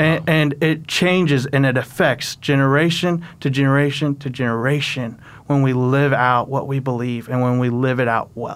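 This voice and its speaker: A man with a normal speaking voice talks at a moderate pace, his pitch fairly high. His intonation is fairly even, and the recording is very clean with a silent background. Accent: American. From Oklahoma. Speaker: student minister. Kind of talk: testimony.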